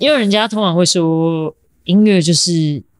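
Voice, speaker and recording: With lively intonation and a fairly low pitch, a woman talks in a normal speaking voice. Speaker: percussionist and sound artist. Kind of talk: casual interview conversation.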